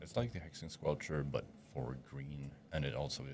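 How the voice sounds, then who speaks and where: A man's very deep, low voice with vocal fry, at a moderate pace, with audible room echo. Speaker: tournament commentator. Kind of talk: live commentary.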